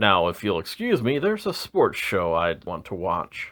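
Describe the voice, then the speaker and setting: Moving at a moderate pace, a man delivers his lines in a put-on character voice. His pitch sits fairly low. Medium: read story.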